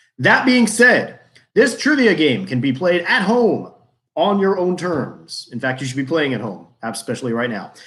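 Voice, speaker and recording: Using vocal fry and an American accent, a man speaks at a fairly high pitch with very wide pitch swings. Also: moderate pace. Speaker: trivia game host. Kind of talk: hosting an online trivia game.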